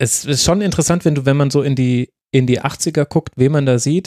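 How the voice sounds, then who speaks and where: The delivery moves at a moderate pace with fairly even intonation, recorded dry and close with no echo. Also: man. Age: 30s. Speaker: podcast host. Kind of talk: casual chat.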